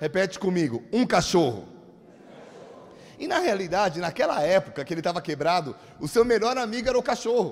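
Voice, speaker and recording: A man talks in an animated tone at a fairly quick pace, his pitch swinging very widely. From Brazil, São Paulo. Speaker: pastor. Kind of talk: sermon. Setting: church.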